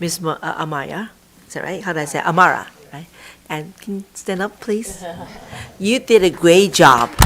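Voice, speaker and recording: A woman talks at a moderate pace and a fairly low pitch, with ordinary pitch variation. Her speech has long, frequent pauses, and there is noticeable background noise. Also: big swings in loudness. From immigrant to US. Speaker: school board president chairing meeting. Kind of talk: board meeting chairing. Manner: halting.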